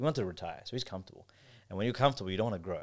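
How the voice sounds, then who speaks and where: A man's fairly low voice in an Australian accent, with ordinary pitch variation, on a very clean recording with a silent background. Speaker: kebab shop owner and entrepreneur. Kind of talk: casual chat.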